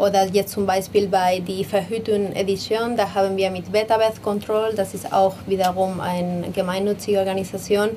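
A woman talks in a Spanish accent at a moderate pace, with hardly any pauses and medium pitch. Her intonation is monotone and flat, and there is noticeable background noise. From Spain, Madrid. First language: Spanish (speaking German). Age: 30s. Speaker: designer and game co-founder. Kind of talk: interview.

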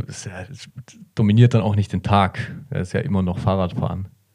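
A man's very deep, low pitch with ordinary pitch variation. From Bavaria, Germany. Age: 20s. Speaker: long-distance cyclist. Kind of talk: interview. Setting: studio.

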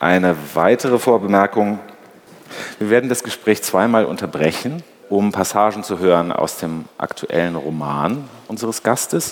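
A man's fairly low voice with lively intonation, a moderate pace and noticeable background noise. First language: German. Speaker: interviewer, culture editor. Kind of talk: moderated interview. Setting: stage with audience.

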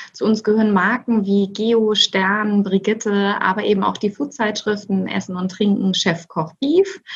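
Somewhat breathy delivery at a moderate pace, with ordinary pitch variation. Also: woman. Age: 40s. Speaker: managing director. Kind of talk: interview.

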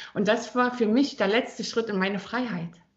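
A woman talks at a moderate pace with a fairly high pitch. Her voice is somewhat breathy. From Thuringia, Germany. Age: 40s. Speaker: personal trainer. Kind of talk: casual interview.

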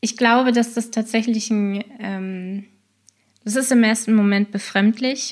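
Somewhat breathy, monotone, flat delivery at a very slow pace. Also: woman, fairly high pitch for a woman. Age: 30s. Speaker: scrum master and agile coach. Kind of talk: casual interview.

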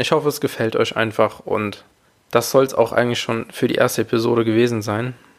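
This man has an ordinary speaking voice at a medium pitch. He speaks fairly quickly with fairly even intonation. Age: 20s. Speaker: podcast host, father. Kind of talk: casual solo monologue.

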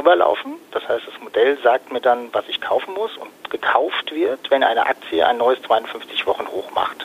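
Vocal fry runs through a man's medium-pitched voice, which has lively intonation and a moderate pace.

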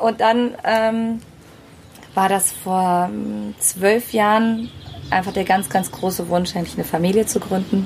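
Speaking at a fairly slow pace, a woman has a medium pitch and fairly even intonation. She takes long, frequent pauses. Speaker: singer and speaker. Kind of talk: casual chat. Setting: outdoors.

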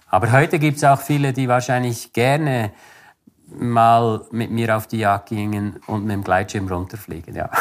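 Here a man speaks at a moderate pace. His pitch is medium, with ordinary variation. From Switzerland, Bernese Oberland (Interlaken). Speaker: adventurer and hunter. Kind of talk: casual interview. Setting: outdoors on a winter walk. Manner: halting, many fillers.

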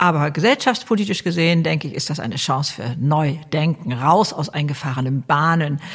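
A woman with a very deep, low voice speaks fairly quickly in an animated tone, with lively intonation and hardly any pauses. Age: 70s. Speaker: author and YouTuber. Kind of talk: interview.

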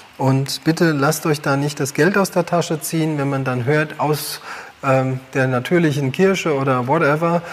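Noticeable background noise under a fairly slow pace of speech. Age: 40s. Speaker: health educator. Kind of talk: livestream talk.

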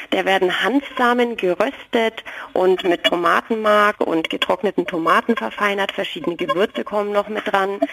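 Noticeable background noise runs under the recording. A woman talks at a moderate pace with ordinary pitch variation. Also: medium pitch for a woman. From Franconia, Nuremberg. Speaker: food truck owner. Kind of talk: interview.

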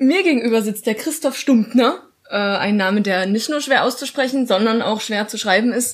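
A woman with a plain, everyday voice speaks at a moderate pace with a fairly high pitch and ordinary pitch variation. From Saxony, Dresden. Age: 20s. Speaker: podcast host, lecturer. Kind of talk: casual chat.

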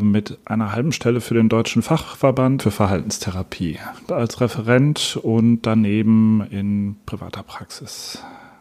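A man's fairly low, slightly mellow voice at a fairly slow pace with fairly even intonation.

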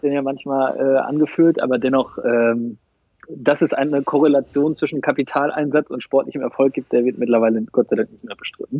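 A man with an unremarkable speaking voice talks at a fairly high pitch with fairly even intonation. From East Westphalia, Germany. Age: 30s. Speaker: football fan representative. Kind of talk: interview.

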